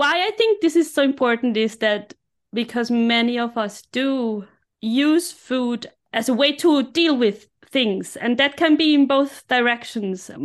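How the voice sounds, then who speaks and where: A woman speaks in a high pitch over a quiet background. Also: ordinary pitch variation, fairly slow pace. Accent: German. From Austria, Innsbruck (Tyrol). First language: German. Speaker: life coach. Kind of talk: podcast interview.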